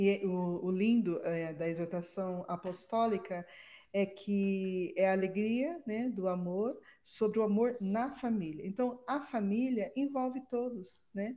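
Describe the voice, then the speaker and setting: Against a quiet background, a woman with a dark, mellow tone speaks at a very slow pace with ordinary pitch variation. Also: medium pitch for a woman. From Brazil, Campinas (São Paulo state). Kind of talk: casual religious discussion.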